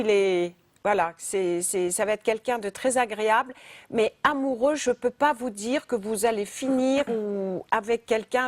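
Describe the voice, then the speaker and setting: The woman's pitch is fairly high, with ordinary variation, and her pace is fairly slow. The sound is dry and close, with no echo. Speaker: psychic medium. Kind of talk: live phone-in psychic reading. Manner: halting, many repetitions; direct.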